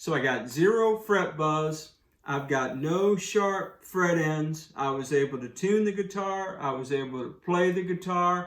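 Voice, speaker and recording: Loud and animated, a man with a high pitch talks at a fairly slow pace with hardly any pauses, his voice carrying an audible room echo. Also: ordinary pitch variation. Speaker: guitar reviewer. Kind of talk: product review. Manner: casual, animated.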